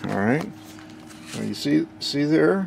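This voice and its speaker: Noticeable background noise is present as a man talks. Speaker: electronics hobbyist. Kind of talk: casual technical demo narration.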